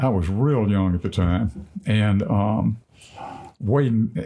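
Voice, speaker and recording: A man's somewhat breathy voice has a dark, mellow tone. His pitch is fairly low, and his intonation is lively. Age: 70s. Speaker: podcast guest, retired duck hunter. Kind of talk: casual chat, storytelling.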